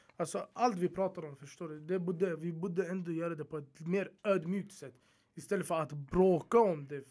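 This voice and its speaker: A man speaks in a high pitch with a dark, mellow tone and fairly even intonation. His pace is moderate, with big swings in loudness. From Uppsala, Sweden. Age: 20s. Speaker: social media comedian.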